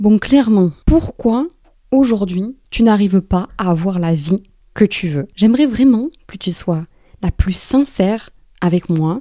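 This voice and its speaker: In a dry, close sound with no echo, a woman speaks at a very slow pace and medium pitch, her dark, mellow tone carrying lively intonation. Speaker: life coach / motivational YouTuber. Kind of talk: motivational talk to camera.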